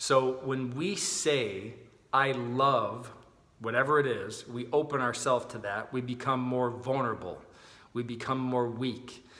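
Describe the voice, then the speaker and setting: Audible room echo surrounds a man speaking at a fairly slow pace. His pitch is medium and his intonation fairly even. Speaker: chiropractor. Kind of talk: casual video talk explaining a health idea. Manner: loud.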